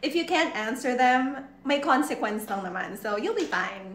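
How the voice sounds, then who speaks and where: A woman's raised, projected voice at a high pitch, with very wide pitch swings, a moderate pace, and noticeable background noise. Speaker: livestream host interviewing a guest. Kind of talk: casual chat. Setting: online livestream. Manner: animated, gushing. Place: home room.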